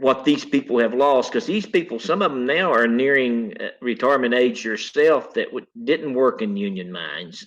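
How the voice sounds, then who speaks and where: With an Appalachian accent, a man speaks at a fairly high pitch with very wide pitch swings and hardly any pauses. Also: moderate pace. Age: 60s. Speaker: retired coal miner. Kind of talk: interview. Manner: halting.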